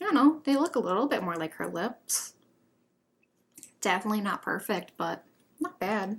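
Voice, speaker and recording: A woman, fairly high in pitch and somewhat breathy, at a moderate pace, with very wide pitch swings and long, frequent pauses. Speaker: beauty vlogger. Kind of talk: makeup tutorial. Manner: casual, chatty.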